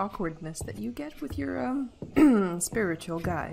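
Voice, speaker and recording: Noticeable background noise sits behind a woman speaking at a fairly slow pace. Her fairly low voice makes very wide pitch swings. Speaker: let's player. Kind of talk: casual gameplay commentary. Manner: stuttery.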